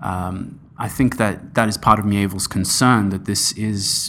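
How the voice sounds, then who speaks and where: Here a man talks at a moderate pace. His fairly low pitch stays monotone and flat. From Australia (Sydney), born in Iran. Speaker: philosophy scholar, PhD student. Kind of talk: interview discussion. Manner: halting, many filler sounds.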